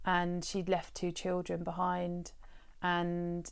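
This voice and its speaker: Speaking fairly slowly with a southern English accent, a woman with a fairly low pitch is heard on a very clean recording with a silent background. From Brighton, southern England. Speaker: holistic therapist. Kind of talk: interview conversation. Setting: her garden work studio. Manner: hesitant, many fillers.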